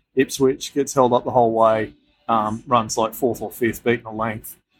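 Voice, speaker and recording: Music plays in the background as a man with an Australian accent speaks at a moderate pace with fairly even intonation. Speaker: sports betting podcast host. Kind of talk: casual chat.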